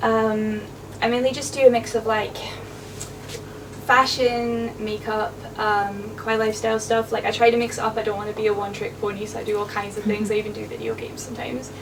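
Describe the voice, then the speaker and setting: Over noticeable background noise, a woman talks at a fairly quick pace. Her pitch is fairly high and her intonation is monotone and flat. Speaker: convention panel host. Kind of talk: live panel talk to audience. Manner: casual, chatty.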